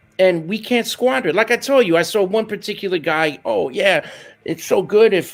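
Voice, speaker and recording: A man's high-pitched, animated voice at a moderate pace, with music in the background. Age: 50s. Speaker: jazz trumpeter and music educator. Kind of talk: interview.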